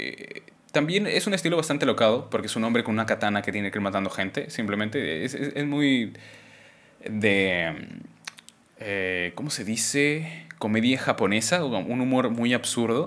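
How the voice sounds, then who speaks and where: A man's plain, everyday voice, medium in pitch, with a moderate pace and lively intonation. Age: 20s. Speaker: podcast host. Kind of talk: casual chat. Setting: live stream.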